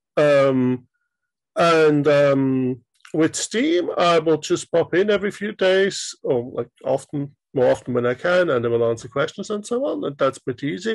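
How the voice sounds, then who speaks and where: A man with a German accent speaks at a fairly slow pace in a fairly high pitch. His intonation is lively. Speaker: indie game developer. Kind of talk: interview.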